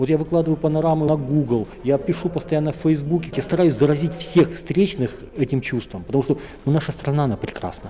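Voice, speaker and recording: Speaking at a fairly quick pace, a man with a fairly high pitch has an unremarkable speaking voice and ordinary pitch variation. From northern Kazakhstan. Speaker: panoramic photographer and traveler. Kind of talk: interview. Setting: travel festival.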